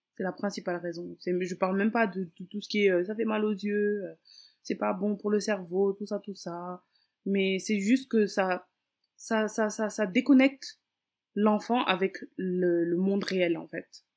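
A woman speaks in an ordinary speaking voice at medium pitch, with fairly even intonation and a fairly slow pace. The recording is very clean, with a silent background. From Senegal, Dakar. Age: 20s. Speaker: mother and Instagram influencer. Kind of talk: casual interview.

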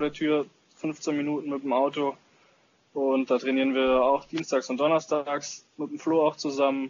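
Monotone, flat intonation in a fairly high male voice. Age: 20s. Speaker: paintball player and social media influencer. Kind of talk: casual chat.

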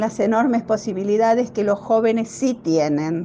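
A woman's fairly high voice with ordinary pitch variation over noticeable background noise. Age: 70s. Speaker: older technology user. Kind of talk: testimony.

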